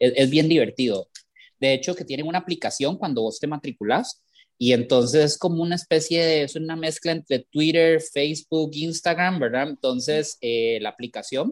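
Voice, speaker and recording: A man with a plain, everyday voice, fairly high pitch, ordinary pitch variation and moderate pace, in a dry, close sound with no echo on a very clean recording with a silent background. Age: 40s. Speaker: architect and university educator. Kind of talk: casual interview.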